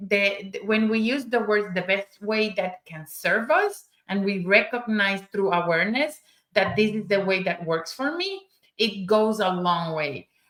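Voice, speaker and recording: A woman with a Spanish accent, a medium pitch with ordinary variation and a fairly slow pace. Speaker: summit speaker. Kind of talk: panel discussion. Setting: live stream.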